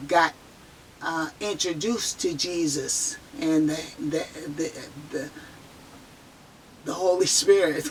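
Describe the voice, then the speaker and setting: Noticeable background noise sits behind a woman with an American accent. She talks at a very slow pace with lively intonation. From San Francisco Bay Area, US. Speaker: near-death experiencer sharing testimony. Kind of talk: testimony. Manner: halting, repeats words; slightly slurred speech.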